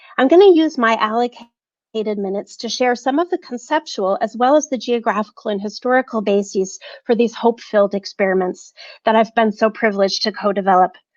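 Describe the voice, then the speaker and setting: A woman's unremarkable speaking voice, fairly high in pitch with ordinary pitch variation, at a fairly quick pace, with a dry, close sound with no echo. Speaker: professor. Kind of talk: prepared academic talk read aloud.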